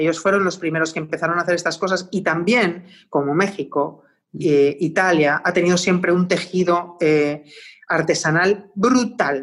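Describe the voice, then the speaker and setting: This woman has a plain, everyday voice, fairly low in pitch, with ordinary pitch variation, a moderate pace and very even loudness. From Spain, Madrid. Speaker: designer and artist. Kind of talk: casual interview.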